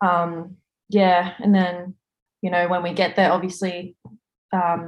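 The speaker has an Australian accent and a monotone, flat intonation, moving at a moderate pace. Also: woman. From Australia, Sydney. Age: 20s. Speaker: police officer. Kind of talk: casual interview.

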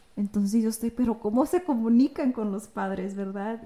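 A woman speaks in a somewhat breathy voice. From United States, Mexican immigrant family. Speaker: podcast co-host. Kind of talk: casual chat. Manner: halting, with repeated words.

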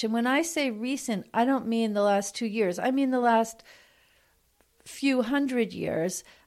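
Woman's fairly high voice, a plain, everyday voice, with lively intonation on a very clean recording with a silent background. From New York. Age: 50s. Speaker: physician and relationship expert. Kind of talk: podcast interview.

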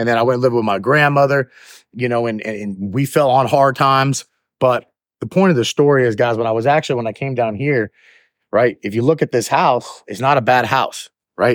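A man with a Southern US accent talks at a fairly quick pace and medium pitch with ordinary pitch variation, recorded very cleanly against a silent background in a dry, close sound with no echo. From US South, Georgia (Jonesboro). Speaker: podcast host, motivational speaker. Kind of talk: motivational talk. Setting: outdoors, walking. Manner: halting, many fillers and restarts.

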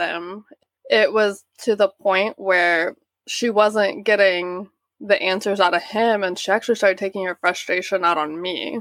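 Woman with an Oklahoma accent, fairly even intonation and a dry, close sound with no echo. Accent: Oklahoma American. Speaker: guest's sister. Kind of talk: interview testimony.

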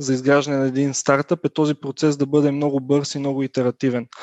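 The man speaks at a fairly high pitch. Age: 20s. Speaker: software company founder. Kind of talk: interview. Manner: hesitant, many fillers.

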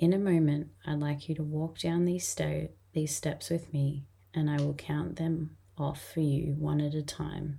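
Somewhat breathy and very deep, a woman's dark, mellow, gentle and soothing voice moves at a fairly slow pace with monotone, flat intonation. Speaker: podcast host and hypnotherapy guide. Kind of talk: guided hypnosis induction and meditation script. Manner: slow, soft, soothing and rhythmic, with long calming pauses; gentle and hypnotic, repeating relaxing phrases.

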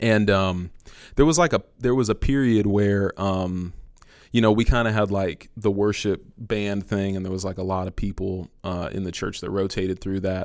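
A plain, everyday voice with an American accent moves at a moderate pace with fairly even intonation, on a very clean recording with a silent background. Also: man, fairly low pitch for a man. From San Francisco, California. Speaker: musician and worship leader. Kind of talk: casual interview chat.

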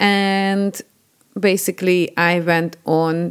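A woman with a Hungarian accent. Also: very clean recording, silent background. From Hungary. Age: 40s. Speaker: podcast host. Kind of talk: personal storytelling monologue.

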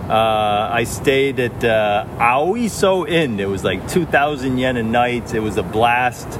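Noticeable background noise sits behind a speaker with a Northeastern US accent and ordinary pitch variation. The delivery is very slow, with hardly any pauses. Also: man, medium pitch for a man. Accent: American (Northeast). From upstate New York. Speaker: educator and writer. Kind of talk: interview. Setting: outdoors in a park.

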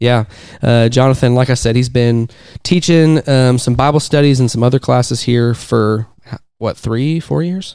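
A man with a plain, everyday voice, medium pitch, ordinary pitch variation, and a moderate pace. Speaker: podcast host. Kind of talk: casual interview.

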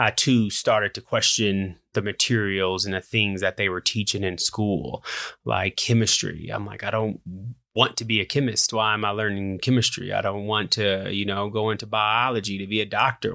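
Recorded very cleanly against a silent background, a man with an American accent and a fairly low pitch speaks at a moderate pace in a bright, sharp tone with fairly even intonation. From US Midwest, Indianapolis, Indiana. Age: 30s. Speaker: podcast host. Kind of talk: personal monologue.

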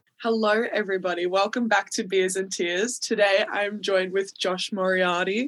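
A woman with an Australian accent talks in a flat monotone at a medium pitch, keeping a moderate pace with hardly any pauses. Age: 20s. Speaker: podcast host. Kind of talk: casual chat.

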